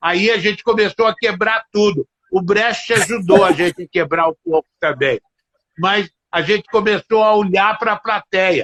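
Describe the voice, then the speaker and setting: A man with a high pitch speaks at a fairly slow pace with ordinary pitch variation, the sound dry and close with no echo. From Minas Gerais, Brazil. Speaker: theatre director and teacher. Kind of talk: interview answer. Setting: video call.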